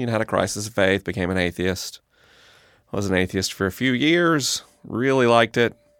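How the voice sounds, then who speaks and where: A man with an American accent has an ordinary speaking voice and lively intonation. He talks at a fairly quick pace in a dry, close sound with no echo. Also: fairly low pitch for a man. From US South, Tallahassee, Florida. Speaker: podcaster on faith and science. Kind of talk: interview.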